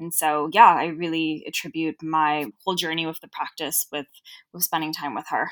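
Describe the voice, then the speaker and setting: In a dry, close sound with no echo, a woman with a Southern California accent speaks at a moderate pace in a very deep, low voice, with fairly even intonation and big swings in loudness. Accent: Southern California, Valley-girl tinge. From Los Angeles, Southern California. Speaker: yoga teacher and non-profit founder. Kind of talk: casual interview conversation.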